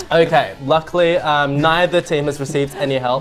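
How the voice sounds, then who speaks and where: With noticeable background noise behind him, a man with a fairly high voice talks at a moderate pace with fairly even intonation. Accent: English. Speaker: comedy quiz show host. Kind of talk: comedic quiz show banter. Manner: sounds like a boring English teacher.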